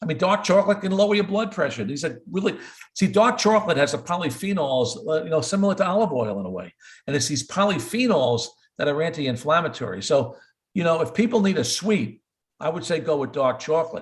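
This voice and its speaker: Very fast and full of very wide pitch swings, a man talks with a fairly high pitch and vocal fry. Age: 70s. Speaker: cardiologist. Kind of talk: interview. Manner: repetitive stammering on words.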